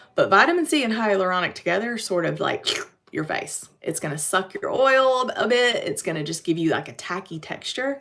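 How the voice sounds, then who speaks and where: In a Western North Carolina accent, a woman talks at a moderate pace. Her tone is bright and sharp, with lively intonation. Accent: Western North Carolina, recognizable. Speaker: makeup brand presenter. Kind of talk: live-stream makeup tutorial. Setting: YouTube live stream. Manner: casual, chatty.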